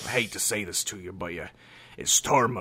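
Putting on a raspy character voice, a man talks at a fairly quick pace with a fairly low pitch. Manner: grave, deadpan bedside delivery.

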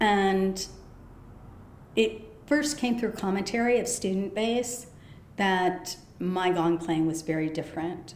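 A woman with an American accent speaks at a very slow pace and medium pitch, with ordinary pitch variation. Long, frequent pauses and audible room echo are present. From US Midwest, Chicago suburbs. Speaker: gong player and yoga teacher. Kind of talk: casual interview chat.

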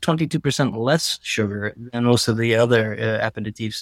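A man with an American accent has a plain, everyday voice. He speaks at medium pitch and a fairly quick pace. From USA. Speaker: spirits brand founder. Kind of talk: casual interview.

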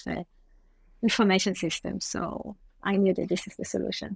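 The voice comes across dry and close with no echo, showing vocal fry, a fairly quick pace, and flat, monotone intonation. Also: woman. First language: not English. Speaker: social entrepreneur, founder. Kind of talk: interview. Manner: hesitant, with fillers.

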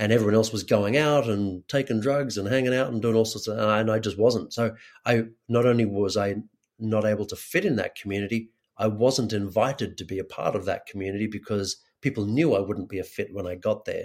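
A man with a normal speaking voice talks at a medium pitch and a fairly quick pace. His intonation stays fairly even. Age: 40s. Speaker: actor and acting coach turned community builder. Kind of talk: interview conversation.

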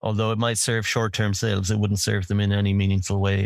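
A man with an Irish accent is heard on a very clean recording with a silent background. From Ireland. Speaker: fraud tech co-founder, ex law enforcement. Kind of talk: interview conversation.

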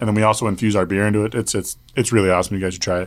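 A man speaks in a flat monotone at a fairly low pitch, with a Midwestern American accent. The recording is very clean, with a silent background. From Kansas (Wichita). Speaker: brewery co-owner. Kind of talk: casual interview.

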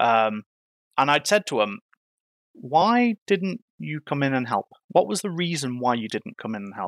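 This man, with an Irish accent, speaks at a moderate pace with very wide pitch swings. He leaves long, frequent pauses. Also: dry, close sound with no echo. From Ireland. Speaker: EMT. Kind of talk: interview, personal story.

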